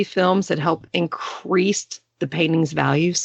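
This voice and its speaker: A woman with a Texas accent speaks at a fairly slow pace. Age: 40s. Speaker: podcast host. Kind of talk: casual chat.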